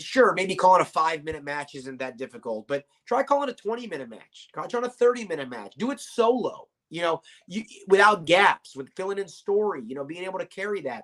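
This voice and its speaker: A man with an American accent, high-pitched, with very wide pitch swings and big shifts in loudness, in a dry, close recording with no echo. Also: fairly quick pace. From Virginia, Norfolk. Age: 30s. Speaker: wrestling commentator. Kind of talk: interview.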